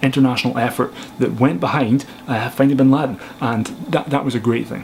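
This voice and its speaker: Noticeable background noise runs behind a man speaking with a Scottish accent. His pitch is medium, his intonation fairly even, and his pace fairly quick. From Scotland. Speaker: filmmaker and photographer. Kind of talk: casual film review to camera.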